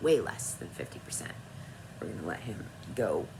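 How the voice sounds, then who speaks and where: Noticeable background noise and audible room echo surround the woman as she talks. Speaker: author and vlogger. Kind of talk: casual vlog talk.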